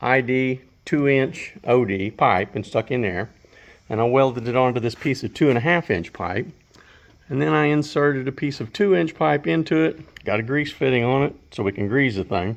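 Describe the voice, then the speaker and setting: The voice carries an American accent and very wide pitch swings at a moderate pace. The background is quiet. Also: man. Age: 70s. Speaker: woodworking and DIY hobbyist. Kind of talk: DIY tutorial. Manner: casual, with frequent fillers.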